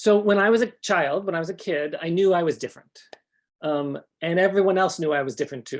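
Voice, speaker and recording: The speaker talks at a fairly quick pace with a Canadian accent. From Canada. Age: 50s. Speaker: author and sex educator. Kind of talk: conference talk. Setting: conference stage with audience. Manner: hesitant, many fillers.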